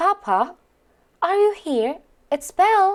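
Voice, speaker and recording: This woman's put-on character voice is squeaky and extremely high-pitched, with very wide pitch swings. She speaks at a fairly slow pace. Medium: read story.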